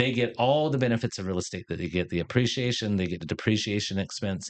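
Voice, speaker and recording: A man with an American accent at medium pitch, ordinary pitch variation and a quiet background. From Riverside, California. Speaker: real estate developer and fund manager. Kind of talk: podcast interview.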